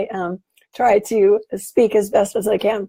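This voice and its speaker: Croaky yet dark and mellow in tone, a woman with a fairly high pitch speaks very slowly, the sound dry and close with no echo. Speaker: online business coach. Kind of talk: live stream talk to viewers. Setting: Facebook live video. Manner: croaking, straining to speak.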